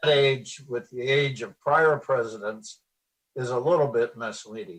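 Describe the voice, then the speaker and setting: A man with an American accent speaks at a fairly slow pace. His voice is somewhat breathy. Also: medium pitch for a man, ordinary pitch variation. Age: 80s+. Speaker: retired lawyer. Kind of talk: interview. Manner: halting.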